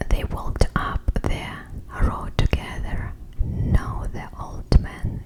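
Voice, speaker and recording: A woman whispers at a very slow pace with a Russian accent. Noticeable background noise sits behind her. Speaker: ASMR creator. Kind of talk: ASMR book reading.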